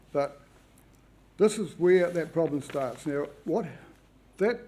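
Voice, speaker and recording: With a New Zealand accent, a man speaks in a dark, mellow tone with ordinary pitch variation. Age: 70s. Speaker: public submitter at planning hearing. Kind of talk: hearing submission.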